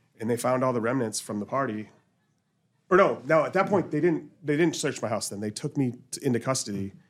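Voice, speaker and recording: A man with a normal speaking voice talks at a medium pitch. His intonation is lively. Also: fairly quick pace. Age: 40s. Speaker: podcast host. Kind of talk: casual chat.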